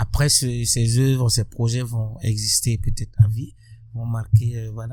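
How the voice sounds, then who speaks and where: A man with a dark, mellow tone speaks at a medium pitch, somewhat breathy and fairly slow, in a monotone, flat intonation. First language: Burkinabe local language (speaking French). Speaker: musician and social activist. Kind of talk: interview.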